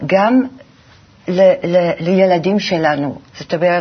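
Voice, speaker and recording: At a very slow pace, a woman talks in a fairly low pitch with ordinary pitch variation. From Belgium (Antwerp). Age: 70s. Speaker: graphic designer. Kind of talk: interview.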